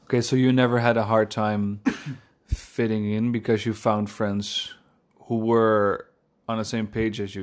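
A man with a Dutch accent, fairly low in pitch and monotone, on a very clean recording with a silent background. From Netherlands, Amsterdam. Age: 20s. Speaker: podcast co-host, furniture maker. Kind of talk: casual chat.

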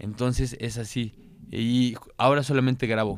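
A man has a normal speaking voice at medium pitch. His intonation stays fairly even. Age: 30s. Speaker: content creator. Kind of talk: casual chat.

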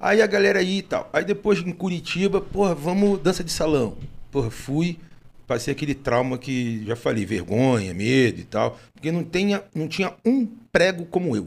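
A man speaks at a moderate pace with very wide pitch swings and some vocal fry. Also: fairly high pitch for a man. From Rio de Janeiro, Brazil. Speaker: podcast host. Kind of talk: casual chat.

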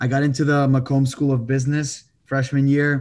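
Against a quiet background, a man with an American accent speaks at a medium pitch and moderate pace in a monotone, flat intonation. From Texas, El Paso. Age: 20s. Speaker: real estate investor and agent. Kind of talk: podcast interview.

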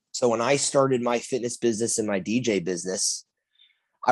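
A man's medium-pitched voice, with pitch that varies in an ordinary way, comes through over a quiet background. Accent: American. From US Northeast (Connecticut). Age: 20s. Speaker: fitness trainer and podcast host. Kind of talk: casual solo monologue.

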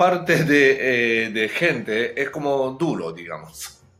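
A man's very slow speech with a Japanese accent and lively intonation, music playing in the background. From Japan, Hokkaido. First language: Japanese (speaking Spanish). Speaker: chef and public speaker. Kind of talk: interview. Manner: halting.

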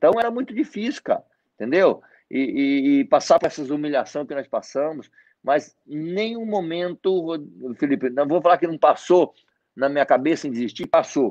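A man speaks at a moderate pace with a fairly high pitch. The sound is dry and close with no echo, over a quiet background. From Mato Grosso, Brazil (born in Paraná, moved at 7-8). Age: 40s. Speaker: network marketing leader. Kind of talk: interview on a live stream.

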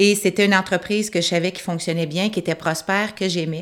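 A woman with a plain, everyday voice speaks at medium pitch and moderate pace with ordinary pitch variation on a very clean recording with a silent background. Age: 50s. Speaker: pub owner and entrepreneur. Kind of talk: interview.

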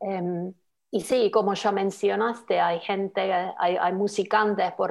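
A woman speaks at a fairly slow pace in a Finnish accent. Her medium-pitched voice is monotone, with flat intonation. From Finland, Lapland. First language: Finnish (speaking Spanish). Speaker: social media worker. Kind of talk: interview. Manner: halting.

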